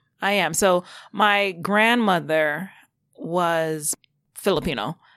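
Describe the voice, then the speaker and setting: In a New York accent, a woman speaks with a fairly low pitch and a bright, sharp tone on a very clean recording with a silent background. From New York, Long Island. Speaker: TV producer and casting director. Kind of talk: interview.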